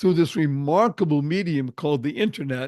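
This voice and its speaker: Against a quiet background, a man speaks at a moderate pace. His intonation is lively. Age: 70s. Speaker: entrepreneur and motivational speaker. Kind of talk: podcast interview. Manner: animated.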